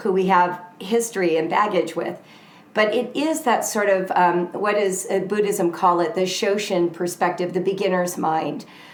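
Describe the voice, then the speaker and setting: A woman with an American accent at medium pitch and moderate pace, with ordinary pitch variation and very even loudness, plus noticeable background noise and audible room echo. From US West Coast (Southern California). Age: 60s. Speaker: author. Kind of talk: interview conversation. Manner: animated.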